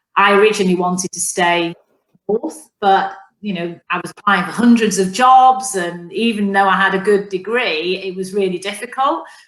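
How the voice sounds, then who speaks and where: With a Mancunian accent, a woman speaks at a medium pitch with ordinary pitch variation. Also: moderate pace. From northern England, Manchester. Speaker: business executive. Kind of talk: interview.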